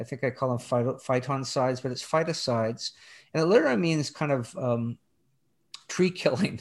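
Using a plain, everyday voice, a man speaks at a moderate pace with a fairly high pitch and ordinary pitch variation over a quiet background. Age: 60s. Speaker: theology professor and author. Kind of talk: interview about his book.

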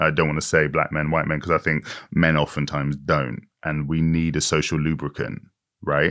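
Against a quiet background, a man speaks at a very deep, low pitch and moderate pace in a monotone, flat intonation. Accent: British. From Britain, Irish-Nigerian heritage. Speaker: author and actor. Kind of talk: interview.

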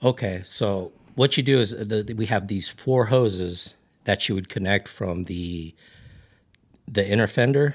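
A man with an ordinary speaking voice talks at a fairly slow pace and fairly low pitch, with ordinary pitch variation. The recording is very clean with a silent background. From Ridgecrest, California. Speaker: camping gear business owner and overlander. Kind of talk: casual chat.

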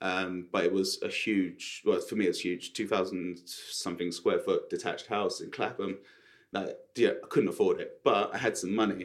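A man speaks with a south London accent. His pace is moderate. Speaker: property developer and estate agent. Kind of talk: casual interview chat. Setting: studio.

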